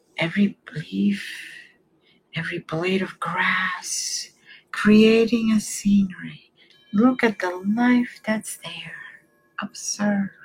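Music plays in the background as a woman speaks at a very slow pace in a gentle, soothing tone, with long, frequent pauses. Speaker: reiki healer. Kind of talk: guided meditation. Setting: online stream. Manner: slow, soothing, calm; soft-spoken, gentle.

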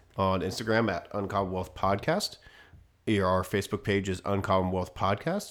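A man with a plain, everyday voice, a fairly low pitch and an American accent, in a very clean recording over a silent background. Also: fairly even intonation, moderate pace. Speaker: podcast host. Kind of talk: casual chat.

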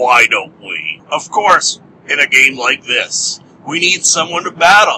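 In a put-on character voice, a man speaks fairly slowly with a gravelly, high pitch. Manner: gruff, world-weary.

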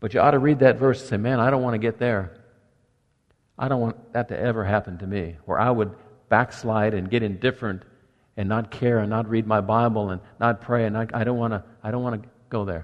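In a normal speaking voice, a man talks at a medium pitch and fairly quick pace with fairly even intonation. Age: 60s. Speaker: pastor. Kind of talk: sermon. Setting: church.

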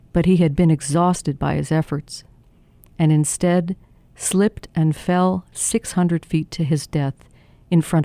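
A woman speaks at a fairly slow pace. Her voice is very deep and low in pitch, with a dark, mellow tone. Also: dry, close sound with no echo. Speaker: journalist narrator. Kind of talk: history documentary narration, scripted essay read aloud. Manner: measured, storytelling tone; dramatic, building suspense at key moments.

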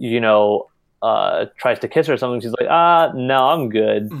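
A man in a New York accent, with ordinary pitch variation. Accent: American English, New York. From US Northeast, New York. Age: 20s. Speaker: college student. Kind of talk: casual chat.

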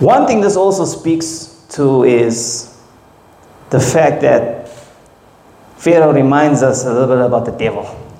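A man talks at a fairly slow pace, with a fairly high pitch and ordinary pitch variation. Long, frequent pauses break up his speech over noticeable background noise. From South Africa, KwaZulu-Natal. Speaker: pastor. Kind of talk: sermon. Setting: church.

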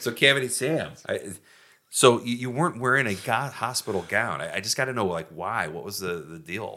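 In a very clean recording with a silent background, a man uses a plain, everyday voice at medium pitch, moving at a moderate pace with lively intonation. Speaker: podcast host. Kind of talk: casual comedic banter. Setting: studio.

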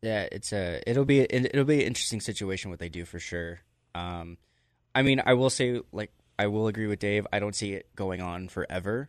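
A man with an ordinary speaking voice talks at a fairly quick pace and fairly low pitch. His pitch variation is ordinary, and the background is quiet. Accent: American. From Las Vegas, US. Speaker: pro wrestler. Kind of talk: casual chat. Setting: studio.

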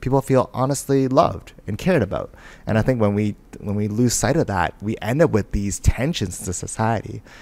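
A man with an ordinary speaking voice uses lively intonation at a medium pitch. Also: fairly quick pace. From Vancouver, Canada. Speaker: lawyer and community advocate. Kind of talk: interview conversation.

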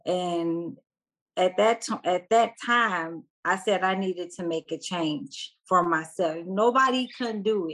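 Delivered at a fairly slow pace with ordinary pitch variation, this is a plain, everyday voice. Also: woman, medium pitch for a woman. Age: 40s. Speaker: warehouse worker and single parent. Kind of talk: interview testimony.

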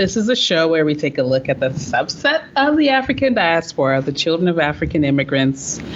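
With very even loudness but very wide pitch swings, a woman with a fairly low pitch speaks at a fairly quick pace over noticeable background noise. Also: hardly any pauses. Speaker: podcast co-host. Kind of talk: casual podcast conversation.

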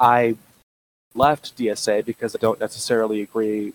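A man with an American accent talks in a monotone, flat way. The sound is dry and close with no echo. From US South, Alabama. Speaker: musician and painter, student. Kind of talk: interview. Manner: halting.

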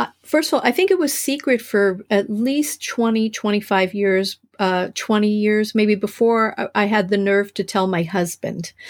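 A woman with an unremarkable speaking voice talks at a fairly high pitch and a fairly slow pace, with hardly any pauses, very even loudness and ordinary pitch variation. The recording is very clean, with a silent background. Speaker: author and writing coach in recovery. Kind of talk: interview.

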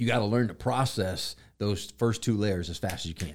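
A man with a plain, everyday voice talks at a fairly low pitch and a moderate pace. His pitch varies in an ordinary way, and the recording is very clean with a silent background. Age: 40s. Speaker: pastor and podcast host. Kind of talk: casual chat.

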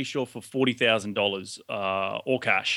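With an Australian accent, a man is talking. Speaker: real estate investor. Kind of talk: interview.

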